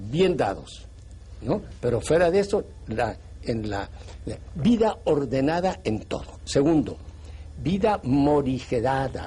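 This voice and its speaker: A man's very slow, fairly high voice, dark and mellow with vocal fry, very wide pitch swings and long, frequent pauses. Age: 80s+. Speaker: priest. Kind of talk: TV interview.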